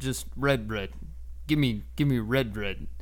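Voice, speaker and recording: A man speaks in a gruff, put-on character voice. Clear background noise runs behind him. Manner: greedy, demanding.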